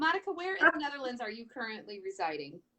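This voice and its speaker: This woman has a Michigan accent. Her tone is bright and sharp. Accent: nasal Michigan. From Michigan, US Midwest. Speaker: talk show host, priestess and healer. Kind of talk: live-stream interview. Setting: Facebook live stream.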